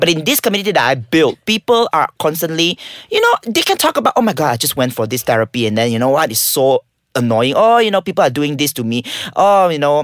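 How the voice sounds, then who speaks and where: Very fast and animated, the voice swings very widely in pitch, with a dry, close sound and no echo. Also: man, fairly high pitch for a man. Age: 30s. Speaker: live-action gamer, Twitch streamer and marketing firm owner. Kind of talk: casual chat, podcast interview. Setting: studio. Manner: animated, joking.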